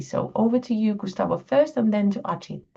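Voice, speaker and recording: A woman speaks in a Finnish accent at a moderate pace. Her pitch varies in an ordinary way. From Finland. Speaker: botanist, grants committee chair. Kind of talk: webinar workshop presentation.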